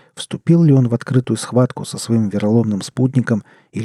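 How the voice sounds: Ordinary pitch variation marks a natural reading voice.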